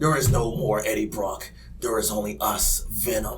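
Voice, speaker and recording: A man talks in a put-on character voice at a moderate pace. Background noise is clear. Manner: menacing.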